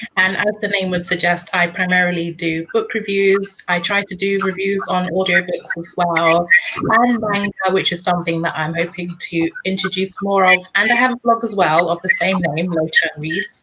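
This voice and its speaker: Over noticeable background noise, a woman with a London accent talks at a moderate pace and medium pitch, with fairly even intonation and hardly any pauses. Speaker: book reviewer. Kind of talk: casual chat.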